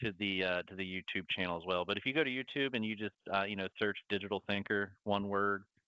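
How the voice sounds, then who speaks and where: Talking at a very fast pace, this is a man. He has a slight Southern US accent. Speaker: webinar host. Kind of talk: live webinar Q&A.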